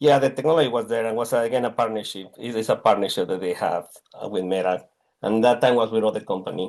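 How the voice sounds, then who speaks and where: A man at a medium pitch with a Mexican accent, talking at a very fast pace. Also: ordinary pitch variation. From Mexico. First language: Spanish. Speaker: technology executive. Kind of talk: interview. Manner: halting.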